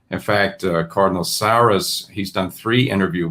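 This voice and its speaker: A bright, sharp voice with a New York accent, moderate pace and ordinary pitch variation, in a very clean recording with a silent background. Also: man. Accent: New York American. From New York (Brooklyn, Westchester County). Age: 60s. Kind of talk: interview. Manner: halting.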